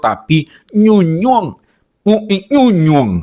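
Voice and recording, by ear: Putting on a nasal character voice, a man speaks at a high pitch with lively intonation.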